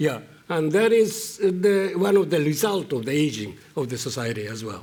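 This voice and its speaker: A man with a Japanese accent and a fairly high pitch speaks at a moderate pace, with very wide pitch swings and big swings in loudness. Audible room echo and noticeable background noise are in the recording. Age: 70s. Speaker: economist panelist. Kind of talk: panel discussion. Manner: hesitant, many fillers.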